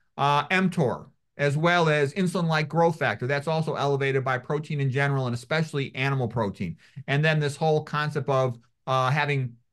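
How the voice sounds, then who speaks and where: Against a quiet background, a man with a normal speaking voice talks at a fairly quick pace, his fairly high pitch showing ordinary variation. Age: 60s. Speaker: medical doctor. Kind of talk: interview.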